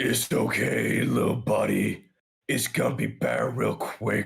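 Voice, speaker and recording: A man's raspy, rumbling put-on character voice at a fairly slow pace. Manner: reassuring.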